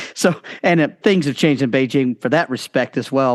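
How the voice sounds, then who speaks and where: With an American accent, a man speaks in an unremarkable speaking voice at medium pitch, with ordinary pitch variation and a fairly quick pace. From United States. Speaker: educator. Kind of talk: casual chat. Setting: podcast interview.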